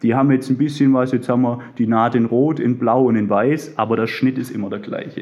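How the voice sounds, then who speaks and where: A man talks at a moderate pace and a medium pitch. His intonation is monotone and flat. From Swabia, near Stuttgart. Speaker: bank client advisor and underwear label founder. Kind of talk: interview.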